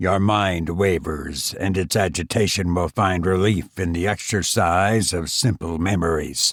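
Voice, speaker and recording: In a put-on character voice, a man speaks at a fairly slow pace on a very clean recording with a silent background. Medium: read story. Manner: gentle, reassuring.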